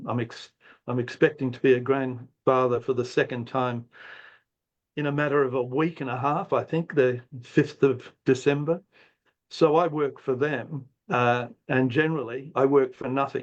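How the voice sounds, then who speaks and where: A man with an Australian accent speaks over a quiet background. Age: 70s. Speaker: retired professor and philosopher. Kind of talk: guest talk. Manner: halting, many fillers.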